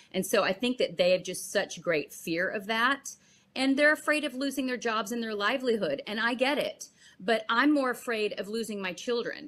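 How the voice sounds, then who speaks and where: With lively intonation, the female speaker keeps to a middling tempo. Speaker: actress. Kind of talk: interview. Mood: earnest, emotional. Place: home room.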